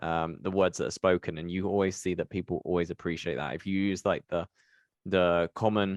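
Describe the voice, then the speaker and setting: A man with a British accent, very deep and low in pitch, fairly quick, with fairly even intonation, a dry, close sound with no echo and a quiet background. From UK. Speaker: podcast host. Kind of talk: podcast interview.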